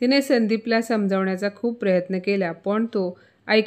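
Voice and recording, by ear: The speaker reads aloud in a natural voice, keeping the intonation fairly even.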